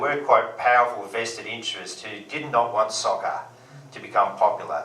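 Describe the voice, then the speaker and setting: A man with an Australian accent talks at a moderate pace, with audible room echo and noticeable background noise. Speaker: comedian. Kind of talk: stand-up. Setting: stage with audience.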